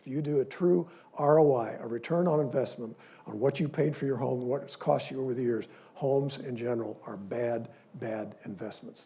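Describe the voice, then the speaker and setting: Ordinary pitch variation in a Midwestern US accent. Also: man. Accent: US Midwest. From Missouri, Independence. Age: 70s. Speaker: dentist giving a guest lecture. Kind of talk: lecture. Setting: lecture hall with audience. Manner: animated.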